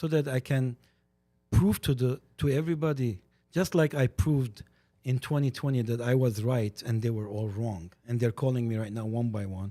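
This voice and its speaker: In a dry, close recording with no echo, a man with an Armenian accent speaks at a moderate pace in a dark, mellow, medium-pitched voice with ordinary pitch variation. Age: 60s. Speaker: podcast guest, community commentator. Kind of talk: casual chat. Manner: animated.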